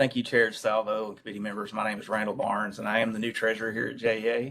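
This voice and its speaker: A man talks very fast in a strong Southern accent, his fairly low voice bright and sharp in tone, the intonation monotone and flat. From US South, East Tennessee. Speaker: utility treasurer. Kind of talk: committee meeting briefing. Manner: formal.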